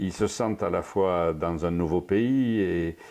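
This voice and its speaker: This man's voice sits at a very deep, low pitch, with a dark, mellow tone and fairly even intonation. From southwestern France, Périgord. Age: 60s. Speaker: storyteller and songwriter. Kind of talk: interview. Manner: halting, many repetitions and fillers.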